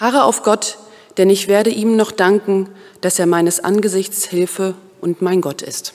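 The woman's pace is fairly slow. Her voice sits at a medium pitch. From Germany, Osnabrück; Germany. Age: 30s. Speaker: vicar in training. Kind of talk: prayer; self-introduction. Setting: church. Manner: hesitant, with filler sounds. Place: church. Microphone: podium.

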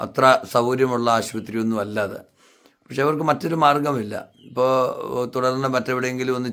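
A man's medium-pitched voice, an ordinary speaking voice, with fairly even intonation. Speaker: pastor. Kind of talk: charity appeal. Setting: inside a hot house.

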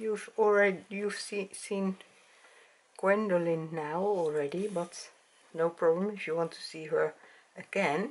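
Fairly slow speech with long, frequent pauses, big swings in loudness and ordinary pitch variation. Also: woman. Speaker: doll hobby vlogger. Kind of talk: casual vlog chat. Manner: hesitant, halting, searching for words. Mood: calm, soft and friendly. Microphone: camera far.

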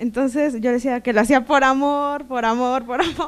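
A woman's voice, high-pitched and fairly slow. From Mexico, Toluca; Mexico. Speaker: seminar graduate. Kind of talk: testimony. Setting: seminar room with audience. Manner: halting, many fillers and repetitions. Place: hall. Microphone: handheld.

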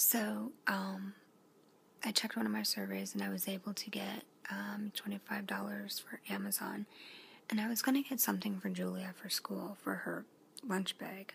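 A fairly slow delivery comes through with light noise behind it. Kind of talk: casual vlog chat. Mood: relaxed late-night chat. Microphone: phone near.

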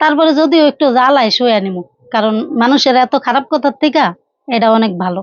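With lively intonation, the woman talks at a high pitch. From Bangladesh, Faridpur. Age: 30s. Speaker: abandoned wife telling her life story. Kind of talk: interview testimony. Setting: on camera.

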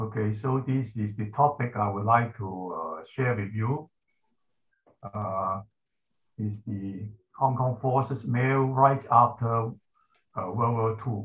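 Speech comes at a very slow pace with long, frequent pauses. The voice is somewhat breathy, its intonation fairly even. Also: man. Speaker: professor giving presentation. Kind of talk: presentation. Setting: video call. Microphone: video call.

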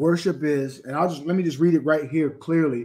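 A man delivers his words at a very fast pace, his intonation fairly even. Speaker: religious teacher. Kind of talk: live stream teaching. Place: home room. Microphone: webcam.

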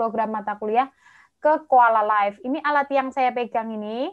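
A woman with a high pitch speaks in a cheerful tone at a moderate pace. Her pitch varies in an ordinary way against a quiet background. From Java, Indonesia. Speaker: medical doctor and master's student; webinar presenter. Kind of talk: online presentation. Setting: video call livestream. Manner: chatty, talkative; cheerful, laughs often. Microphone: video call.

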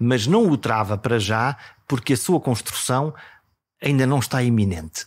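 Speaking in a European Portuguese accent, a man keeps a moderate pace and ordinary pitch variation. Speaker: podcast host. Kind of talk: scripted narration.

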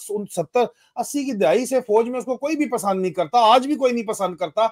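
A man with an extremely high pitch speaks at a moderate pace with ordinary pitch variation, his sound dry with no echo over a quiet background. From Pakistan. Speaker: retired army officer and political commentator; political commentator. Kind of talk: political discussion. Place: home room.

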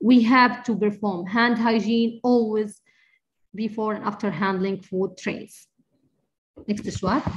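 A woman with a somewhat breathy, fairly high voice talks at a moderate pace with fairly even intonation. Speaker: infection control nurse. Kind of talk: lecture. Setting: video call.

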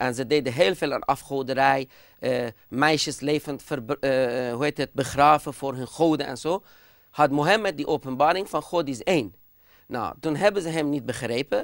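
In a Persian accent, a man speaks at a moderate pace with a fairly high pitch and ordinary pitch variation. The sound is dry with no echo, over a quiet background. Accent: Persian-accented Dutch. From Iran. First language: Persian (speaking Dutch). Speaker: speaker. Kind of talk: TV discussion; interview answer. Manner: hesitant. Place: studio. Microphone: lapel.

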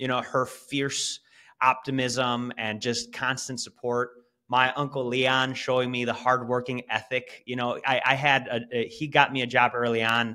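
The background is quiet as a man speaks at a moderate pace. His intonation is monotone and flat, with a bright, sharp tone. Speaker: podcast guest. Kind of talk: interview answer. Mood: warm, reflective storytelling. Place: home room. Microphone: video call.

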